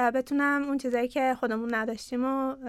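The speaker talks at a fairly quick pace with fairly even intonation in a very clean recording with a silent background. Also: woman. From Iran, Ahvaz (Khuzestan). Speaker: company CEO and co-founder. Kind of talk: interview conversation.

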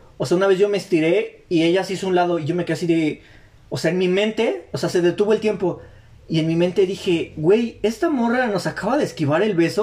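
Delivered at a very fast pace, this voice with a Mexican accent has ordinary pitch variation. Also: man. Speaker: podcast host. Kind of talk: casual chat.

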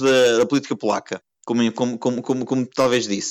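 At a moderate pace and medium pitch, this man talks in a plain, everyday voice. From Portugal, Porto. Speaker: economics consultant and emigrant. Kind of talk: podcast interview.

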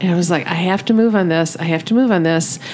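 A woman speaks with an American accent and lively intonation. There is noticeable background noise behind her. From Michigan. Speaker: podcast host and counselor. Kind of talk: casual chat.

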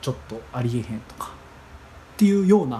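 A man talks with medium pitch. He speaks with a Kansai accent. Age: 20s. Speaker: podcast host. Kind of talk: solo monologue. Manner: halting.

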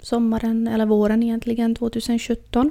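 Speaking at a fairly slow pace, a woman has a fairly high pitch and a dark, mellow tone. The recording is very clean, with a silent background. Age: 30s. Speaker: podcast host. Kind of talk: personal monologue.

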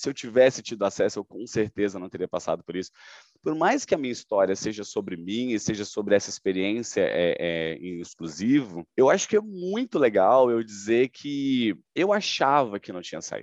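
Over a quiet background, a man with an unremarkable speaking voice talks at a medium pitch and moderate pace, with lively intonation and big swings in loudness, the sound dry and close with no echo. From Goiânia, Brazil. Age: 30s. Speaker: sales manager. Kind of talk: testimony.

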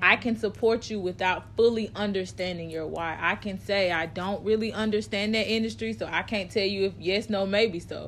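A woman's plain, everyday voice, medium in pitch with ordinary pitch variation, at a moderate pace with hardly any pauses. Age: 30s. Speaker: podcast co-host. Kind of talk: casual chat.

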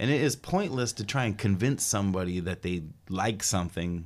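A man with an American accent speaks at a moderate pace with a very deep, low pitch and ordinary pitch variation. The recording is very clean, with a silent background. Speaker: musician and music promoter. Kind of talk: casual interview. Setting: studio.

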